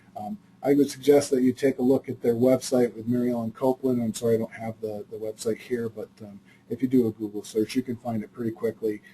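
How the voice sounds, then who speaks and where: A man at a medium pitch, somewhat breathy, with a dark, mellow tone and a fairly quick pace. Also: dry, close sound with no echo. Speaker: mental health agency presenter. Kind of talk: webinar presentation. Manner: fast; halting, many fillers.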